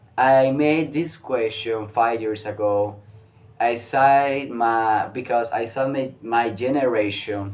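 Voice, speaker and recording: A man talks with fairly even intonation. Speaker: English learner vlogger. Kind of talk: casual monologue, mock interview answers. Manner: halting, many restarts and fillers.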